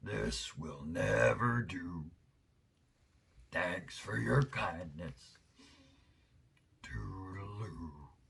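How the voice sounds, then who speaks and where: A man puts on a croaky, raspy character voice with a very deep, low pitch and very wide pitch swings. He talks at a very slow pace, with long, frequent pauses. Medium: read story. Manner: clipped, chummy phrases.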